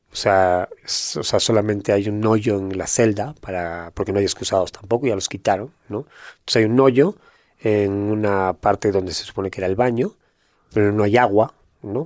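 A man speaks at a moderate pace and fairly low pitch in an unremarkable speaking voice. His intonation is fairly even, and the recording is very clean with a silent background. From northern Spain, Gijón, Asturias. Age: 50s. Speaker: former prisoner turned entrepreneur. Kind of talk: casual interview chat.

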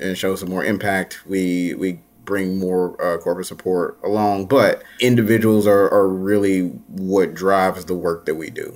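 Intonation stays monotone and flat at a moderate pace. The recording is very clean, the background silent. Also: man. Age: 30s. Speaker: nonprofit founder and CEO. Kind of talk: interview.

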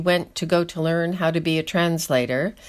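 A woman's medium-pitched voice in a New York accent, at a moderate pace, on a very clean recording with a silent background. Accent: American (New York). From upstate New York. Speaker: Russian film enthusiast, Russian speaker. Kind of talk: casual chat.

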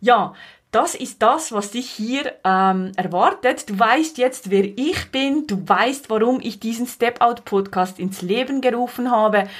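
Speaking at a very slow pace, a woman uses a fairly high pitch with ordinary pitch variation on a very clean recording with a silent background. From Switzerland, Valais. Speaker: podcast host, life coach. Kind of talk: monologue podcast introduction.

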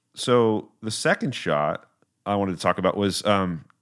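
On a very clean recording with a silent background, a man with a fairly low pitch talks at a moderate pace in an ordinary speaking voice. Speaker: podcast host interviewer. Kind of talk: casual interview chat.

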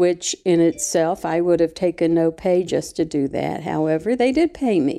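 In an Appalachian accent, a woman talks at a moderate pace with hardly any pauses. Her voice is fairly low-pitched, with a dark, mellow tone and ordinary pitch variation. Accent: Appalachian Southern US. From West Virginia. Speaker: retired school employee. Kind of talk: casual interview.

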